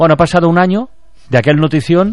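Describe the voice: Fast and lively in intonation, a man speaks at a fairly high pitch.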